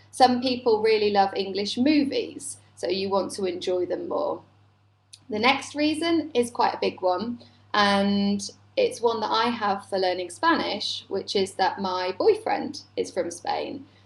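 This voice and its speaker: Fairly high in pitch and somewhat breathy, a woman speaks at a fairly slow pace with lively intonation. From United Kingdom. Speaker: native-speaker English teacher. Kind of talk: live webinar lesson. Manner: conversational, clear.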